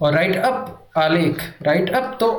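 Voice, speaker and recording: Lively intonation carries through the speech, with audible room echo around it. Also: man. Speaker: Hindi exam coaching teacher. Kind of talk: revision lecture. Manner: repetitive, drilling.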